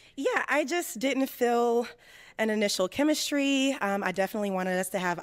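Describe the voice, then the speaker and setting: A woman with an ordinary speaking voice talks at a fairly quick pace, her fairly high pitch carried by lively intonation. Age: 20s. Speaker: dating show contestant, healthcare consultant. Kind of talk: casual chat.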